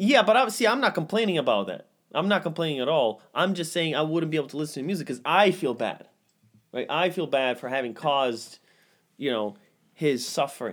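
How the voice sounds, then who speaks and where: In a playful tone, a man with a fairly high pitch speaks at a fairly quick pace, his pitch swinging very widely. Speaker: podcast host. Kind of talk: casual banter podcast chat. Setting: home studio. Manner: joking, playful, frequently interrupting.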